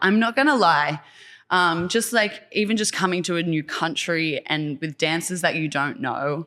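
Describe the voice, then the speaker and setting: With an Australian accent, a woman of medium pitch speaks at a fairly slow pace. Her intonation is lively, and the recording is very clean with a silent background. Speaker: choreographer and dance teacher. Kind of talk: casual interview.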